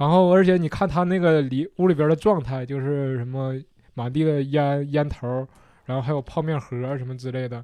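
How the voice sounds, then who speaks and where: At a moderate pace and in a fairly high pitch, a man speaks with a dark, mellow tone and ordinary pitch variation over a quiet background. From Shenyang, northeast China. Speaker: stand-up comedian, former vet. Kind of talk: casual chat.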